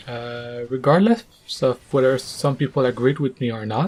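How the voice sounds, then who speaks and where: The speaker has a non-native accent and a moderate pace. The intonation stays fairly even. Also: man. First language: not English. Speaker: gaming commentator. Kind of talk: casual rant to camera.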